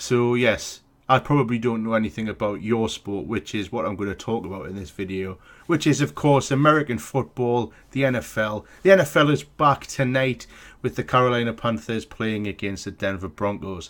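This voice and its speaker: Lively intonation at a moderate pace in a British accent, on a very clean recording with a silent background. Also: man, medium pitch for a man. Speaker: sports vlogger. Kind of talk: casual vlog commentary. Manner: hesitant, many fillers.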